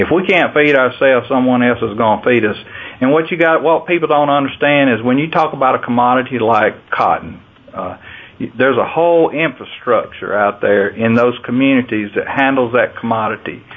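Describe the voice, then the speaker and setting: Over noticeable background noise, a man with a Southern US accent speaks at a moderate pace and medium pitch, with ordinary pitch variation and very even loudness. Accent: Southern US (Georgia). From US South, Georgia. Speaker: farm organization president and farmer. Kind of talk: interview.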